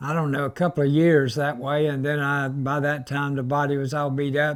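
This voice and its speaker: In a Southern US accent, a man with a fairly high pitch talks at a moderate pace with monotone, flat intonation. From US South, Florida Panhandle (Panama City). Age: 70s. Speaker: retired race car driver. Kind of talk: interview storytelling. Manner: halting, with fillers.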